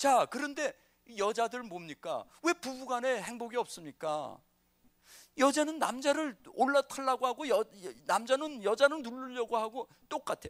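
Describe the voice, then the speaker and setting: Fairly slow speech with a dry, close sound and no echo. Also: man, extremely high pitch for a man, ordinary pitch variation. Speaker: pastor. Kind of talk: lecture. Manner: animated.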